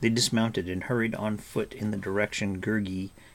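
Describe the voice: The speaker uses plain reading aloud, and the intonation stays fairly even.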